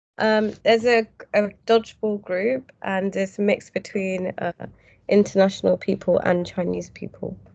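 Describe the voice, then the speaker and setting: Speaking at a moderate pace, a woman talks with a British accent. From UK. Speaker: English teacher. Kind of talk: casual interview chat. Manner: hesitant, with fillers.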